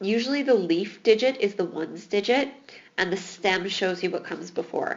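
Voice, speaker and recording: A woman's medium-pitched voice with lively intonation and a fairly quick pace, against noticeable background noise. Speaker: math teacher. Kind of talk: tutorial.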